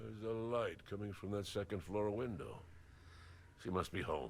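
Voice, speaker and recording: A man uses a gruff, put-on character voice, fairly low in pitch, at a moderate pace. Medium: video game.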